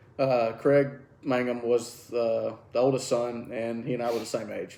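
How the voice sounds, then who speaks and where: A man with a Southern US accent speaks at medium pitch and a moderate pace in a monotone, flat intonation. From Alabama. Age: 40s. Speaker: karate instructor and podcast host. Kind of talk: casual chat. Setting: at home, drinking beer.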